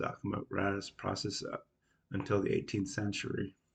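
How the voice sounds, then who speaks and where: A man's fairly low, somewhat breathy voice at a fairly quick pace, monotone and flat. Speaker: independent researcher / video creator. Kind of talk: casual explanatory monologue.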